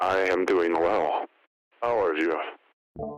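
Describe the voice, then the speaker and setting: A man puts on a character voice with a very deep, low pitch. It sounds raspy and robotic. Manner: flat, polite.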